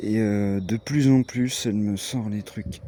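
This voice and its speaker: A man speaks at a fairly low pitch with a strong eastern French accent. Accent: strong regional eastern French. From eastern France (Franche-Comté / Haute-Marne). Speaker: vlogger. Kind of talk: casual vlog chat. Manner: hesitant, many fillers.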